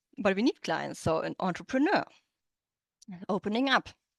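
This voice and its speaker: A woman's medium-pitched voice with a German accent, vocal fry, lively intonation and a fairly quick pace, dry and close with no echo over a quiet background. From Germany. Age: 30s. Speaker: interpreter and business coach. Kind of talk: online workshop presentation. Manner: halting, with many fillers and restarts.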